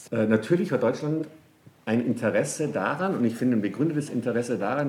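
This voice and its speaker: A man with a dark, mellow tone talks amid audible room echo. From Bavaria, Germany. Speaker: economics professor. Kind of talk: interview. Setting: office. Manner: lively.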